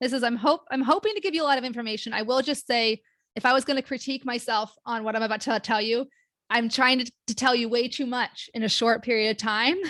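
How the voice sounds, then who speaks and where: A woman speaks at a high pitch with a bright, sharp tone and ordinary pitch variation, in an American accent. The sound is dry and close, with no echo. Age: 40s. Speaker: occupational therapist and patient educator. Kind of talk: educational webinar presentation. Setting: online webinar with live chat. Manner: fast; casual, filler-heavy.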